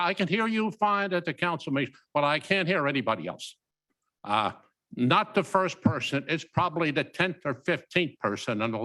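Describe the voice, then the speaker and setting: A man talks at a moderate pace with a fairly high pitch, a bright, sharp tone and vocal fry. His pitch swings very widely, in a very clean recording with a silent background. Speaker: council member. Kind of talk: council meeting discussion. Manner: loud.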